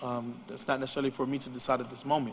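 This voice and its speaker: Noticeable background noise runs beneath the voice. The intonation is fairly even. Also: man. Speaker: city commission chair. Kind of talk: public meeting debate. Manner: soft-spoken.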